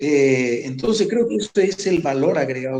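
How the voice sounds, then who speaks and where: A man's dark, mellow tone with lively intonation at a moderate pace. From Formosa, northern Argentina. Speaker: war veteran, gendarmerie commander. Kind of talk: interview.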